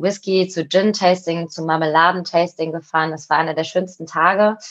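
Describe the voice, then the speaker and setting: A woman talks with an unremarkable speaking voice. Her pitch is fairly low and her pace moderate. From Cologne, Germany. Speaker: co-founder of an online shop. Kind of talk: interview conversation.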